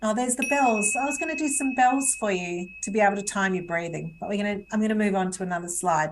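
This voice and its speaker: Talking at a very fast pace with hardly any pauses, a woman uses a medium pitch and lively intonation over noticeable background noise. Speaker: webinar presenter on stress management. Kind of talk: webinar presentation. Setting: live webinar video call.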